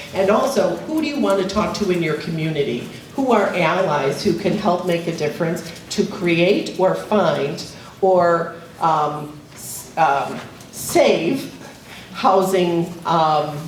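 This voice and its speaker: With audible room echo and noticeable background noise, a woman speaks very slowly at a fairly low pitch with lively intonation. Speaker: community organization presenter. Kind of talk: presentation to audience. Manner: loud.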